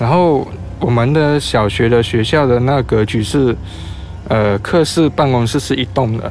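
A man with a Taiwanese accent speaks at a medium pitch and a fairly slow pace. His pitch varies in an ordinary way, and there is noticeable background noise. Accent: Taiwanese-tinged Mandarin. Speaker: guest sharing ghost encounters. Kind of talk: casual storytelling chat.

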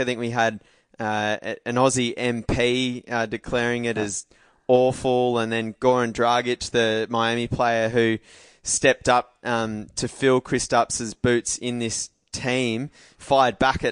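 A man with an Australian accent speaks fairly slowly at a medium pitch in a monotone, flat way. The background is quiet and the sound is dry and close with no echo. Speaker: podcast host. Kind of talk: casual chat.

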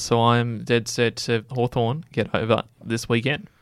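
In a very clean recording with a silent background, a man speaks at medium pitch with an Australian accent. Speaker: sports podcast co-host. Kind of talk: casual sports panel chat.

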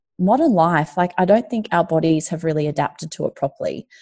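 A woman with an Australian accent has a dark, mellow tone. Her pitch is fairly low, set against a quiet background. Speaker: journalist and entrepreneur. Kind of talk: casual interview.

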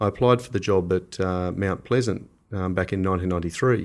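A man with an Australian accent, fairly even intonation, and a very clean recording over a silent background. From Australia (Canberra). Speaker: winemaker. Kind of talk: casual interview. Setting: in person.

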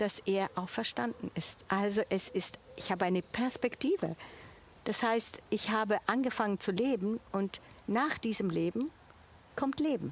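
Speaking at a fairly slow pace, a woman uses a fairly high pitch with ordinary pitch variation and very even loudness. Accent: Italian. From Switzerland. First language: Italian (speaking German). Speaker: church volunteer, international café organiser. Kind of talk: testimony. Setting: outdoors in a garden.

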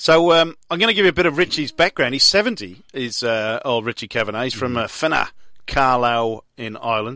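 In a very clean recording with a silent background, a man speaks at a moderate pace and medium pitch. His tone is bright and sharp, with lively intonation. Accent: Welsh. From Wales. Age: 40s. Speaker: sports radio host. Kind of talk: casual chat. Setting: studio.

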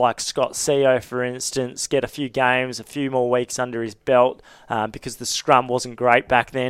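A man with an Australian accent speaks at a medium pitch and a moderate pace, in a monotone, flat way. The recording is very clean with a silent background and a dry, close sound with no echo. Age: 20s. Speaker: rugby journalist. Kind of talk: casual chat. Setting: studio.

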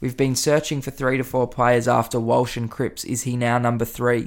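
On a very clean recording with a silent background, a man with an Australian accent speaks at a moderate pace and medium pitch. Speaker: podcast host. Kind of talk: casual sports podcast analysis. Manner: animated, excitable.

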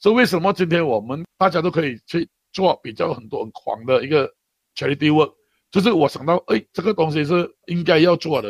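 The man speaks at a very fast pace in a high voice. The sound is dry and close with no echo. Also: lively intonation. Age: 50s. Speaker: charity worker. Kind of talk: interview. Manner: halting, with many fillers and repetitions.

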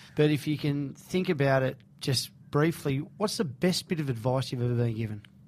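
Somewhat breathy and with an Australian accent, the voice moves at a fairly quick pace. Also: man, fairly high pitch for a man, ordinary pitch variation. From Sydney, Australia (Bondi). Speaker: radio host. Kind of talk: casual interview. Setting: radio studio.

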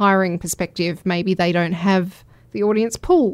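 A woman with a plain, everyday voice and a medium pitch talks at a moderate pace on a very clean recording with a silent background. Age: 40s. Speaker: brand strategist. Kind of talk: interview.

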